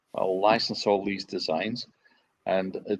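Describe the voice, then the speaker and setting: The speaker talks at a moderate pace with a Scottish accent. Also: man. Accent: Scottish, kept. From Scotland, Dumbarton area on the Clyde. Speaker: ferry designer. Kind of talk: interview.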